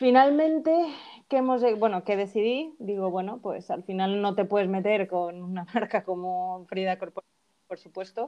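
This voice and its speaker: Lively intonation shapes a woman's delivery. Her tone is dark and mellow. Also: medium pitch for a woman, moderate pace. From Mexico (Veracruz). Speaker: fashion brand founder. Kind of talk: casual interview.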